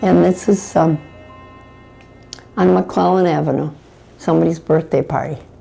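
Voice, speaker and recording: Over music in the background, a woman with an American accent speaks at a moderate pace in a very deep, low voice, her pitch swinging very widely and her loudness very even, with long, frequent pauses. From Detroit, Michigan. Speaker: great-grandmother. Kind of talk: interview answer.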